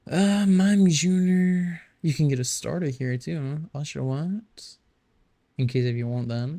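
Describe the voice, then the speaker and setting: At a very slow pace, a man speaks in a dark, mellow tone at fairly high pitch. His voice is somewhat breathy. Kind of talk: casual gameplay commentary. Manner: hesitant, stuttering.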